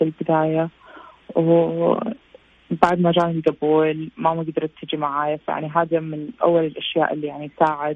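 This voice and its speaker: Flat and monotone, a woman's very deep, low voice moves at a moderate pace. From Saudi Arabia, Jeddah. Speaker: visual effects artist. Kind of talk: interview.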